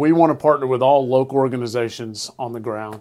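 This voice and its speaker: With a slight Southern US accent, a man talks at a fairly quick pace in a medium pitch with fairly even intonation. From Alabama. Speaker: nonprofit executive. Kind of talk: casual interview chat.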